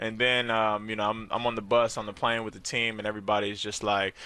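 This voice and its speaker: The recording is dry with no echo. A man speaks at a very fast pace with monotone, flat intonation. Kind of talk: interview answer. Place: hall. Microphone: headset.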